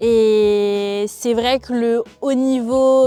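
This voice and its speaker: Fairly high in pitch, a woman's voice moves with fairly even intonation. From France, Brittany (Finistère, near Brest). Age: 20s. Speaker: rugby player and PhD researcher. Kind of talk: interview testimony. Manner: hesitant, many fillers.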